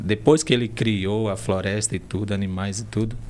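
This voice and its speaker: A man talks with fairly even intonation. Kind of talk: interview conversation.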